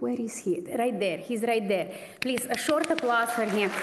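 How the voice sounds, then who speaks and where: A woman speaks with a strong Slovenian accent. Audible room echo and noticeable background noise are present. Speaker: pianist, award recipient. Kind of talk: acceptance speech.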